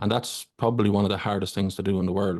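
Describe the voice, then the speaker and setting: With an Irish accent, a man speaks fairly quickly at a fairly low pitch. The sound is dry and close with no echo against a quiet background. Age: 40s. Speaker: fellow podcaster. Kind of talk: casual chat.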